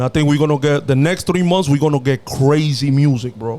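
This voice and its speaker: A man with a strong Dominican accent speaks at a fairly high pitch with fairly even intonation. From Dominican Republic. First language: Spanish. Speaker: podcast co-host. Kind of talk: casual chat.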